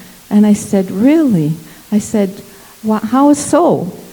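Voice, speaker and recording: Noticeable background noise sits behind a woman with a fairly high pitch. She talks at a fairly slow pace with lively intonation. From Congo. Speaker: missionary. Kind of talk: interview testimony in church service.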